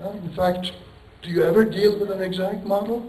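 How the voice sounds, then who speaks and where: A man speaks at a high pitch and a moderate pace. Audible room echo and noticeable background noise surround him. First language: Turkish. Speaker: professor. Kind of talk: lecture. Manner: rambling, conversational.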